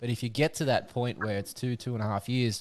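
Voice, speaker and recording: A man with an Australian accent, medium pitch and a moderate pace. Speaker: podcast host. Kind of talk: casual chat. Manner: halting.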